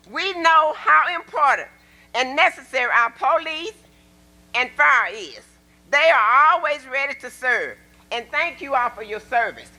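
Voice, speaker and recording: In an Arkansas accent, a woman with a high pitch uses a raised, projected voice at a fairly slow pace, with lively intonation, long, frequent pauses and big swings in loudness. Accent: Southern US (Arkansas). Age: 70s. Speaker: public commenter at council meeting. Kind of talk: public comment speech. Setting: city council meeting. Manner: animated.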